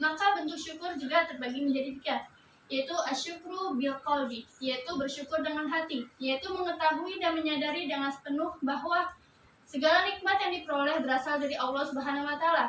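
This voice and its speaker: Her pace runs fairly quick. The voice, a woman's, is high-pitched. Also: fairly even intonation. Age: 20s. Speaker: student teacher. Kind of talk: classroom lesson.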